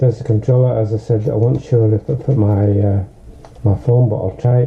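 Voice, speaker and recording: Over noticeable background noise, a man with a Northern English accent speaks at a moderate pace and a medium pitch. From Northern England. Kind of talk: casual unboxing talk to camera.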